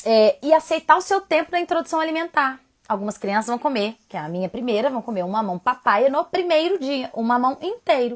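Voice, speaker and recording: A woman is talking. Her pitch rises and falls very widely. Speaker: parenting educator. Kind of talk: live stream talk. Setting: home live stream. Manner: fast; loud.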